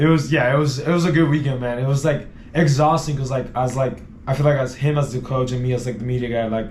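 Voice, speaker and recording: Through noticeable background noise and audible room echo, a man at medium pitch talks at a very fast pace. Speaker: team media guy. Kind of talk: casual chat. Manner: animated.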